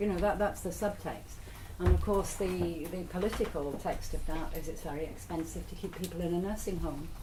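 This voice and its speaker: A woman with a fairly low pitch speaks at a fairly quick pace with fairly even intonation, heard with audible room echo and noticeable background noise. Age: 60s. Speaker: lecturer on ageing and care. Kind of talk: lecture. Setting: workshop with audience. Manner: conversational.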